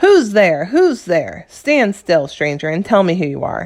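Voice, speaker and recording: In a put-on character voice, a woman growls at a moderate pace with a medium pitch. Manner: menacing, demanding.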